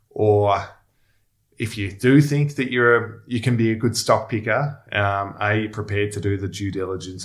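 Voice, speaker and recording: In an Australian accent, a man talks at a moderate pace and fairly low pitch, somewhat breathy. The recording is very clean, with a silent background. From Melbourne, Australia. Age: 30s. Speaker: former pro footballer turned investment professional. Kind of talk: podcast interview. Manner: halting, many fillers and repeats.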